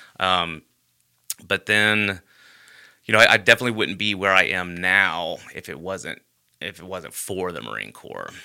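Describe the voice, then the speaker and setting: A man with a very deep, low pitch and a bright, sharp tone speaks at a moderate pace with vocal fry and ordinary pitch variation. His loudness swings widely, and he pauses often and at length. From Alabama, Birmingham area. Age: 30s. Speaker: state legislator. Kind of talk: casual interview.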